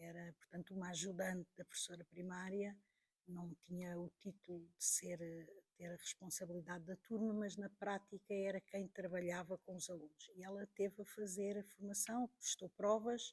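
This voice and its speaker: The woman's voice is somewhat breathy and monotone, with flat intonation, in a dry, close sound with no echo. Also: medium pitch for a woman, moderate pace. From Portugal, Porto region. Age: 60s. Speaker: teacher and witness of political history. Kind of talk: interview testimony.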